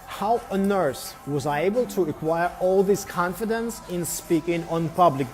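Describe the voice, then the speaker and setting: Against noticeable background noise, a high-pitched man speaks fairly slowly with lively intonation. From Belarus. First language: Russian. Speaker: English tutor. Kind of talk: live stream monologue. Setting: barbershop. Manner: halting, many fillers.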